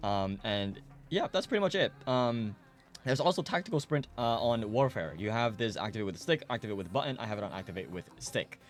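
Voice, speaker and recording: Talking at a fairly quick pace, a man with a medium-pitched voice makes very wide pitch swings. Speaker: gaming youtuber. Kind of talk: tutorial. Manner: fast; casual, filler-heavy.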